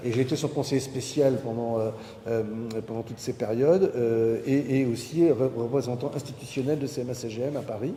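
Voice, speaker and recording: A somewhat breathy voice with a dark, mellow tone moves at a moderate pace with ordinary pitch variation, and audible room echo. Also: man. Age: 60s. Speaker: maritime entrepreneur. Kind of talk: conference talk. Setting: university lecture hall with audience. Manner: hesitant, many fillers.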